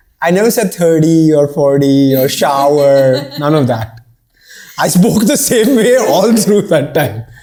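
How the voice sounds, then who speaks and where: With a Bombay accent, a man speaks fairly slowly in a fairly high voice with a dark, mellow tone. His intonation is lively, yet his loudness stays very even. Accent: Bombay Indian English, unchanged. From India, Bombay. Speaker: startup founder. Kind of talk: casual chat.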